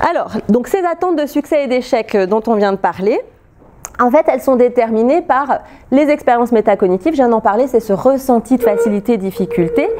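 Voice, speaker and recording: A high-pitched woman's voice with lively intonation and very even loudness. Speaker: researcher presenting at a lab seminar. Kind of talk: academic seminar talk. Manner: fast; hesitant fillers, repeated euh.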